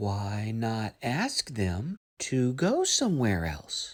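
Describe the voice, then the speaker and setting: A low-pitched put-on character voice at a very slow pace, in a very clean recording with a silent background. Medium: read story. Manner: cheerful, matter-of-fact.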